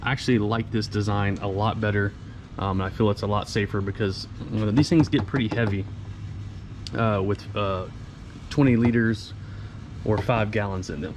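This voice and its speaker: At a moderate pace but with long, frequent pauses, a man speaks in fairly even intonation over noticeable background noise. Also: fairly low pitch for a man. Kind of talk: casual walk-around explanation. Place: street. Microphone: phone near.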